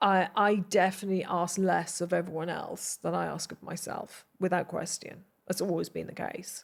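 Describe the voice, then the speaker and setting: A woman with a Welsh accent. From South Wales (Glynneath). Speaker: television producer. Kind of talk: interview conversation.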